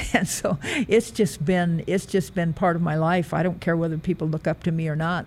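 The speaker has an American accent and a somewhat breathy voice. The pace is moderate. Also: woman. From US Midwest, rural Nebraska. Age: 70s. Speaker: retired track athlete and coach. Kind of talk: interview. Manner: halting.

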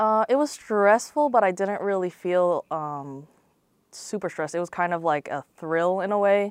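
In an American accent, a woman speaks with an unremarkable speaking voice at a medium pitch. Her intonation is lively, her pace is moderate, and the sound is dry and close with no echo. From Central Florida (Lakeland). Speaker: sports broadcast production crew. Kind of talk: interview.

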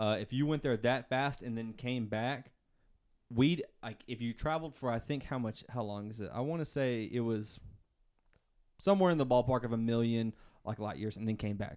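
A man's voice at medium pitch with an American accent, ordinary pitch variation and a moderate pace. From US South, Arkansas. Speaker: podcast co-host, nursing student. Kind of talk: casual chat. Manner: loud.

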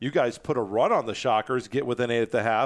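A man with an American accent speaks at a medium pitch in a monotone, flat delivery against a quiet background. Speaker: college sports broadcaster. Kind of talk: sports interview podcast.

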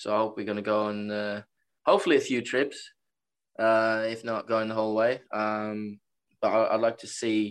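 Against a quiet background, a man with a Norwegian accent speaks at a medium pitch in a monotone, flat delivery, with long, frequent pauses. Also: moderate pace. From Norway. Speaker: college soccer player. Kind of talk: interview. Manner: halting.

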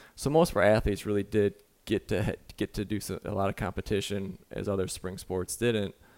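In an American accent, a man with a plain, everyday voice and a fairly low pitch speaks at a fairly quick pace, with a dry, close sound with no echo and a very clean recording with a silent background. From Michigan. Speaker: college track and field coach. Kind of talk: casual interview.

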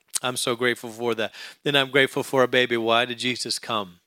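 Recorded very cleanly against a silent background, a man speaks in an ordinary speaking voice with fairly even intonation. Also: dry, close sound with no echo. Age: 40s. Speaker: pastor. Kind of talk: sermon.

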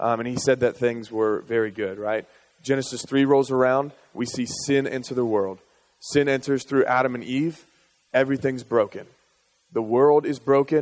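A man of medium pitch talks at a moderate pace with fairly even intonation. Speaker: school chaplain giving a talk. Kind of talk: sermon. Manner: matter-of-fact, plain; halting, many fillers and repeats.

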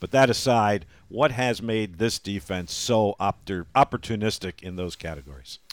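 In a normal speaking voice, a man with a fairly low pitch talks at a moderate pace, his intonation lively and his loudness swinging widely. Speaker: play-by-play radio broadcaster and podcast host. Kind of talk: casual sports podcast chat.

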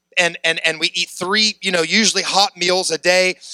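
A man speaks in a high-pitched, bright, sharp tone with ordinary pitch variation at a moderate pace. The sound is dry and close with no echo. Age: 30s. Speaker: preacher. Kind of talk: sermon.

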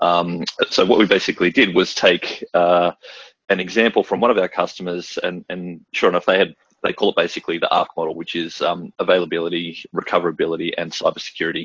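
A man with an Australian accent talks very fast. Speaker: systems engineer. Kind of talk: product demo webinar.

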